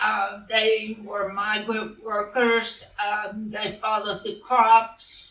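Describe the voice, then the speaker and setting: A woman speaks at a very slow pace with fairly high pitch. Noticeable background noise runs under her voice. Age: 70s. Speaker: author of western romance novels. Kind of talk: interview. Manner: hesitant, many fillers.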